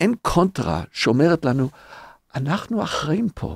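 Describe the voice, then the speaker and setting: On a very clean recording with a silent background and a dry, close sound with no echo, a man speaks in a fairly high pitch with very wide pitch swings. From North America. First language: English (speaking Hebrew). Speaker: rabbi and podcast co-host. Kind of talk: casual chat.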